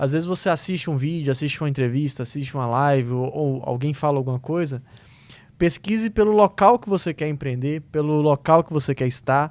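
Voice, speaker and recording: A man's normal speaking voice, fairly high in pitch, with ordinary pitch variation and a fairly quick pace. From Minas Gerais, Brazil. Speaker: podcast host. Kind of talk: interview question.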